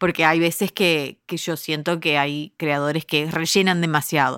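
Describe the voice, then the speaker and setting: In a very clean recording with a silent background and a dry, close sound with no echo, a woman with an ordinary speaking voice speaks at a fairly slow pace and a fairly low pitch. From United States, Uruguayan family. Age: 40s. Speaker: podcast producer and company founder. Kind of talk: casual interview conversation.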